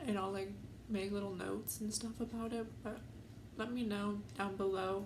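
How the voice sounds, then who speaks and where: The speech moves at a fairly slow pace, with audible room echo and noticeable background noise. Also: woman. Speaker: YouTuber. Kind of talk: casual vlog storytime. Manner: hesitant, many fillers.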